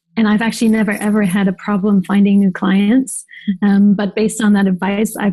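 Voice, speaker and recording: Soft-spoken and somewhat breathy, this voice has a dark, mellow tone and moves at a fairly quick pace. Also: woman. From Germany. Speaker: designer and agency owner. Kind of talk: interview.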